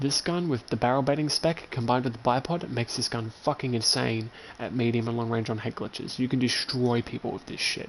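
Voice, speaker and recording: Delivered in an Australian accent, the speech moves along fairly quickly. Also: man. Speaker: video game streamer. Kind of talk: gameplay livestream commentary. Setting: home. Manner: loud; animated.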